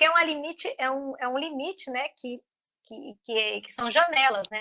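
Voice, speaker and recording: A woman speaks at a high pitch in a bright, sharp tone. Her pitch varies in an ordinary way. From Brazil. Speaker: linguist and mother. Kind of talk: interview. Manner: halting, many fillers.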